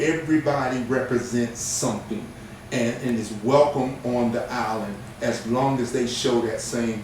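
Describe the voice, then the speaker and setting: Noticeable background noise and audible room echo surround a voice at a moderate pace with fairly even intonation. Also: man. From Hawaii (Oahu), born in Virginia. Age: 60s. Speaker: interviewer, military veteran. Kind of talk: interview.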